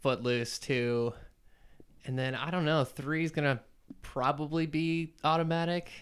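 A man with an American accent, fairly high in pitch, at a fairly slow pace with fairly even intonation and long, frequent pauses. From North Carolina, Raleigh. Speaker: musician. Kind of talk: casual chat.

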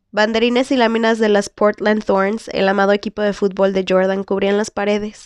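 A woman at a medium pitch speaks at a moderate pace with monotone, flat intonation, in a dry, close sound with no echo. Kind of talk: audiobook reading of a novel chapter. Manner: occasionally stumbles and restarts words.

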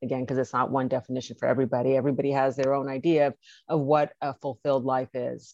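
A woman's very deep, low voice with an American accent, very fast and monotone in flat intonation, dry and close with no echo over a quiet background. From Los Angeles, US. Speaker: healthcare marketing and advocacy expert. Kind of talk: interview.

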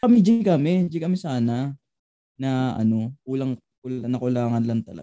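A dark, mellow tone carries lively intonation at a moderate pace, with big swings in loudness. The sound is dry and close, with no echo. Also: man, medium pitch for a man. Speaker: podcast co-host, college student. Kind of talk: casual chat.

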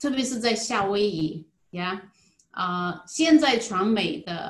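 A woman speaks in a medium pitch. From Zhejiang, China (Jinhua). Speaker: insurance agent. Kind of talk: interview. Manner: halting, many filler sounds.

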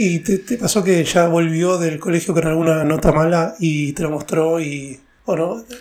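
A high-pitched man talks at a fairly slow pace with fairly even intonation. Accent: Rioplatense. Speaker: podcast host and stand-up comedian. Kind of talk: casual interview chat.

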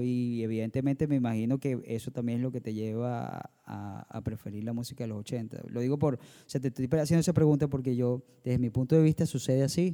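Speaking fairly quickly with hardly any pauses, a man has a dark, mellow tone at a medium pitch with ordinary variation. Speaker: band vocalist and producer, podcast host. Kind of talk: casual chat.

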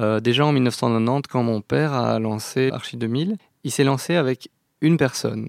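At a fairly slow pace, a man with a medium pitch speaks in an unremarkable speaking voice. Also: dry, close sound with no echo. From Belgium, Brussels. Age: 30s. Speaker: operations manager at an architecture firm. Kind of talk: interview.

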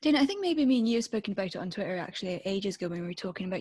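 A somewhat breathy woman speaks in a Scottish accent at a medium pitch. The recording is very clean, with a silent background. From Scotland, Stirling. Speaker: podcast host. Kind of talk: casual chat.

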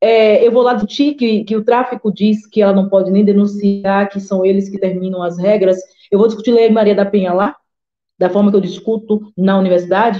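A woman with a medium pitch speaks at a fairly quick pace with fairly even intonation. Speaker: historian and women's rights activist, council candidate. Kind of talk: live-streamed interview, personal testimony.

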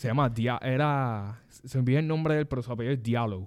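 A man talks at a moderate pace in a medium pitch, with ordinary pitch variation. He has a normal speaking voice. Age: 20s. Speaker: sports podcast host. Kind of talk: casual chat. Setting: studio.

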